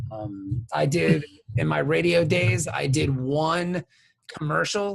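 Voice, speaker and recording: A man speaks with lively intonation. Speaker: comic book writer and podcast host. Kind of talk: casual chat. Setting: live-streamed video podcast.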